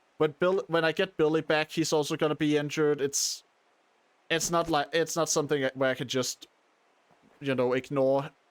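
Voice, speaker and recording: Recorded very cleanly over a silent background, a man with a non-native accent speaks at a moderate pace and a fairly high pitch. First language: not English. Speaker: video game streamer. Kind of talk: live gameplay commentary. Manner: halting, many self-corrections.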